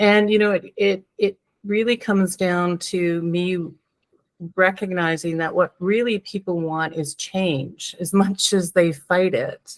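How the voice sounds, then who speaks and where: In a dry, close recording with no echo, a woman of medium pitch speaks fairly slowly with fairly even intonation. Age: 60s. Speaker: psychotherapist and transformational coach. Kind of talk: podcast interview. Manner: hesitant, many fillers.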